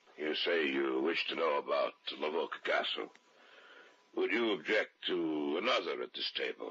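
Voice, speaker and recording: This is a put-on character voice, raspy in texture. The pace is moderate. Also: man. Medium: audio drama.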